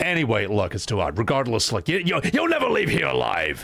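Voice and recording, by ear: The clip is reading aloud in a natural voice.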